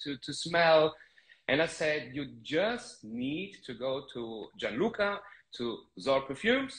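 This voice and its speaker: A man with a German accent and lively intonation. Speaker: fragrance channel host. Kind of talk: live stream interview. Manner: halting.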